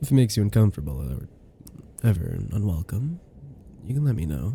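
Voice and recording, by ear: A man puts on a character voice with a husky, rough edge and a dark, mellow tone. His fairly low pitch swings widely at a fairly quick pace.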